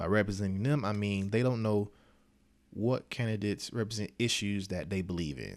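A man with a plain, everyday voice talks at a fairly quick pace, his fairly low pitch showing ordinary pitch variation. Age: 20s. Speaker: podcast host and speaker. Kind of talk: motivational talk.

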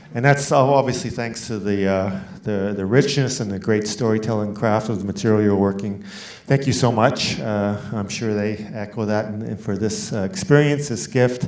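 Audible room echo surrounds the voice. A man speaks in a fairly low pitch. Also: ordinary pitch variation, moderate pace. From Canada. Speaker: festival moderator. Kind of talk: moderated Q&A. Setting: stage with audience.

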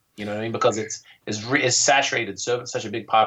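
Speaking at a very fast pace, a man with an American accent talks in a fairly low pitch. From North Carolina. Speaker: tiny house website owner, entrepreneur. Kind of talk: casual interview chat.

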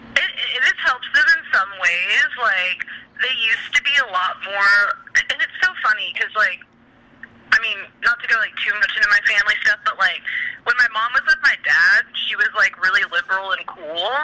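A woman talks at a moderate pace, and background noise is noticeable. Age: 20s. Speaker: poet and novelist. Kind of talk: casual chat.

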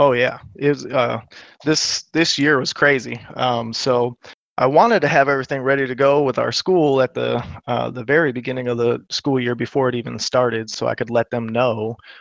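A man with a medium pitch and fairly even intonation talks at a moderate pace in a normal speaking voice. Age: 30s. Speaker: gamer and navy veteran. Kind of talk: casual chat.

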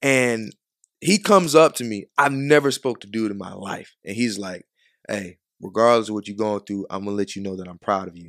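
In a normal speaking voice with an American accent, a man talks at a moderate pace and fairly low pitch with ordinary pitch variation and big swings in loudness, in a very clean recording with a silent background and a dry, close sound with no echo. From Chicago. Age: 20s. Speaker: photographer. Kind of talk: casual chat. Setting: studio.

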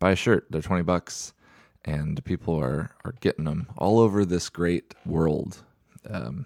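Vocal fry runs through this man's very deep, low voice. His intonation is lively, and the sound is dry and close with no echo. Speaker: podcast host. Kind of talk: casual comedy podcast banter.

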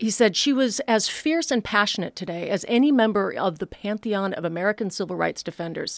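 Lively intonation marks this woman's ordinary speaking voice at a medium pitch. She talks at a fairly quick pace with hardly any pauses. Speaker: radio host. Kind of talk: radio magazine show. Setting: studio.

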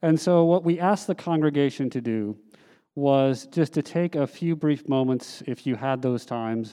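Speaking in an ordinary speaking voice, a man talks at a fairly slow pace, his fairly high pitch showing ordinary pitch variation. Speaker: head elder, church announcer. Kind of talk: formal congregational announcement. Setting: church.

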